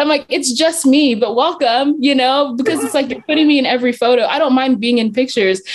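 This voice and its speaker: A woman with an American accent talks at a high pitch against noticeable background noise. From Zambia, England and US Southwest. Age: young. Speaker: young church leader. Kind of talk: casual chat.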